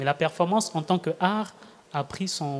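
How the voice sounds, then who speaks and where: A man is talking. His speed is moderate. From Republic of the Congo. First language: a Congolese language (speaking French). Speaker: performer and storyteller. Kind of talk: live radio panel discussion. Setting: live public broadcast at tables.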